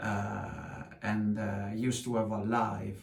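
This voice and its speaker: In an Italian accent, a man speaks with fairly even intonation, a fairly low pitch and vocal fry, with audible room echo. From Sardinia, Italy. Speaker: musician. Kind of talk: casual chat. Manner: halting, many filler sounds.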